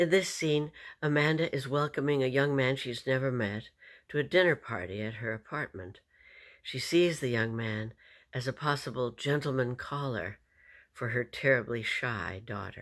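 Her pitch is very deep and low, with ordinary variation. The woman keeps a moderate pace against a quiet background. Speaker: actor performing a monologue. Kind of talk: theatrical monologue with a spoken introduction. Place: home room. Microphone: webcam.

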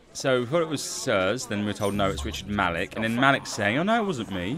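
A man's voice over faint music in the background. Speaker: game streamer. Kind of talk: casual gameplay commentary. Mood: wry, joking. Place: home room. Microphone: studio mic.

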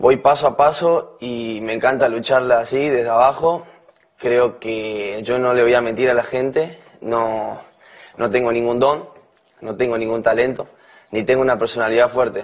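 A man keeps a moderate pace, his intonation fairly even. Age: 20s. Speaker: reality show contestant. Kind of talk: campaign speech. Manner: halting. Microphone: podium.

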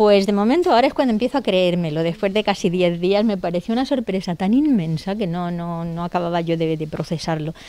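At a fairly quick pace with hardly any pauses, a woman speaks at medium pitch in a dark, mellow tone. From Spain, Elda (Alicante, Valencia region). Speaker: novelist. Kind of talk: interview. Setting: bookshop. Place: shop. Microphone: handheld.

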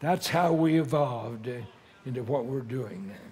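Moderate pace from a man, with ordinary pitch variation. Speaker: preacher. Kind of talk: sermon. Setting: church or conference with live audience. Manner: animated, emphatic preaching delivery with audience call-and-response. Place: church.

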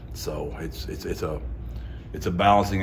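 With light background noise behind him, a man speaks in a very deep, low pitch. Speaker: head football coach. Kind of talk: interview answer. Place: hall.

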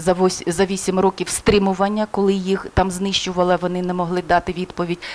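Fairly quickly, a woman talks with a monotone, flat intonation. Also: medium pitch for a woman. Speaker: crisis psychologist. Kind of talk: interview. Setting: studio. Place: studio. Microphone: headset.

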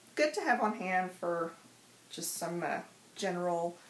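A woman talks at a fairly slow pace, with light background noise and audible room echo around her. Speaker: craft tutorial host. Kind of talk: tutorial. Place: home room.

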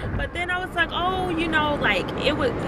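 Loud background noise surrounds a woman talking at a moderate pace, her voice dry with no echo. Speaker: vlogger. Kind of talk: casual vlog chat. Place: car. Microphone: phone near.

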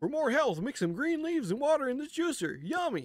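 A man's put-on character voice at an extremely high pitch and a fairly quick pace, in a very clean recording with a silent background. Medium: game stream. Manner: pleading.

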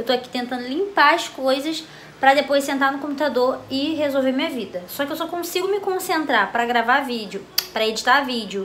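At a high pitch and moderate pace, a woman speaks with lively intonation over light background noise. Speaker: home vlogger. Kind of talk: casual vlog chat. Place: home room. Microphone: phone near.

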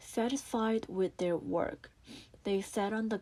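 A woman at a fairly slow pace with ordinary pitch variation, in a very clean recording over a silent background. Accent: Korean. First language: Korean. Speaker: English learner reading aloud. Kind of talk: audiobook reading.

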